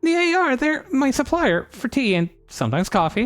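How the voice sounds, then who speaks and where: With music in the background, someone performs a put-on character voice at a moderate pace. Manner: trying to sound tough and assertive.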